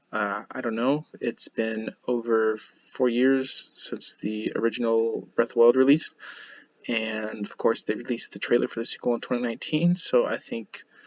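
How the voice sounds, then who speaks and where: At a moderate pace, a man with a plain, everyday voice speaks. His pitch is medium and his intonation fairly even. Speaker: gaming reaction youtuber. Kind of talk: casual talk to camera.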